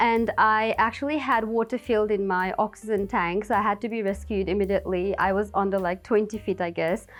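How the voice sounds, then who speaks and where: Barely pausing, a woman speaks at a fairly quick pace and a medium pitch with fairly even intonation, on a very clean recording with a silent background. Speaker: beauty pageant contestant. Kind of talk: interview. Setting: on camera. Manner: fast.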